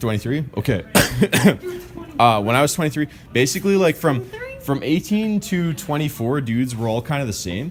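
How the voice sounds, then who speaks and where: A man speaks with a fairly high pitch and lively intonation. He takes long, frequent pauses over noticeable background noise. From Vancouver, Canada (Richmond). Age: 20s. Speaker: ski vlogger. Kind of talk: casual chat. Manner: fast; animated.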